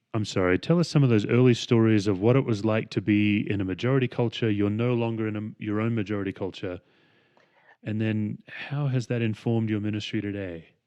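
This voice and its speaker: With an Australian accent, a man talks at a fairly quick pace. His fairly low voice keeps a fairly even intonation. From Western Australia. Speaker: podcast host and pastor. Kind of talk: podcast interview.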